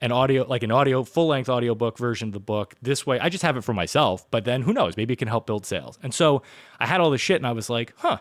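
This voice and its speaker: Over a very clean recording with a silent background, a man with an American accent speaks at a medium pitch with ordinary pitch variation. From New York City (Brooklyn). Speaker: podcast host. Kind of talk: casual chat. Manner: animated.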